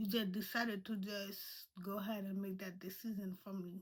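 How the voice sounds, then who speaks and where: A woman with a non-native accent, a bright, sharp tone and a moderate pace. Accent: non-native accent, noticeable. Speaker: vlogger. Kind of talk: personal storytelling. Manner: halting.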